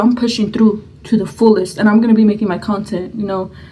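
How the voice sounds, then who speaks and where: Quiet and fairly quick, a woman speaks with monotone, flat intonation. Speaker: mukbang vlogger. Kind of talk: storytime while eating. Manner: quiet, subdued; halting, searching for words.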